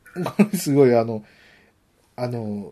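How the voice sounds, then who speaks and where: Delivered at a very slow pace, the voice has a dark, mellow tone and moves through very wide pitch swings. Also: man, quiet background. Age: 40s. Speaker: podcast host. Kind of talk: casual chat.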